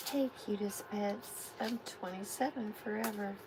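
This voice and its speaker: Soft-spoken and fairly even in intonation, a woman talks over noticeable background noise. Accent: American. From Texas. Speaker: tarot reader. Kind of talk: live tarot reading. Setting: livestream.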